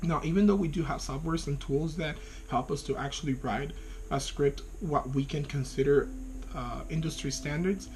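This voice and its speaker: A man with a Spanish accent talks at a fairly quick pace and a fairly high pitch. Audible room echo surrounds his voice. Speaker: graduate student. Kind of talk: video class reflection. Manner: hesitant, with fillers.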